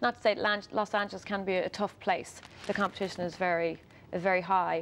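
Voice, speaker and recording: A woman in an Irish accent at a medium pitch, with a fairly quick pace and monotone, flat intonation. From Ireland, County Louth. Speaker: singer-songwriter. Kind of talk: TV interview. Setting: TV studio.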